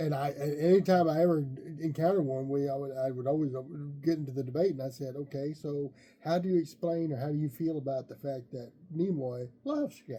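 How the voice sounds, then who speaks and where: At a fairly quick pace, a man speaks in a fairly high pitch with a dark, mellow tone and fairly even intonation. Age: 60s. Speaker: wrestling podcast co-host. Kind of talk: casual chat.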